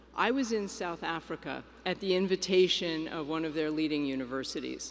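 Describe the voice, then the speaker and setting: A woman's fairly low voice at a fairly quick pace. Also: lively intonation. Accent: New York. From New York. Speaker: executive director of an advocacy organization. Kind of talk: keynote speech.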